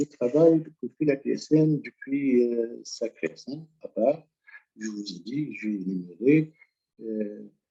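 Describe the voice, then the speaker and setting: A man's medium-pitched voice, dark and mellow in tone, with lively intonation, a very slow pace and a dry, close, echo-free sound. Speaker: retired education inspector, association president. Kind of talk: presentation talk. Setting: online teleseminar.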